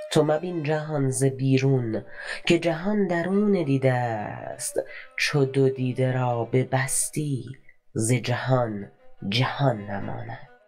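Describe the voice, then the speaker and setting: The speaker talks at a very slow pace with lively intonation while music plays in the background. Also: woman, very deep, low pitch for a woman. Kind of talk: poetry reading. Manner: slow, contemplative.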